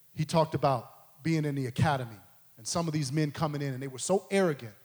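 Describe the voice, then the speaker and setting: Very fast, animated speech from a man, fairly high-pitched and somewhat breathy, with ordinary pitch variation. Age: 40s. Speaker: preacher. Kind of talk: sermon.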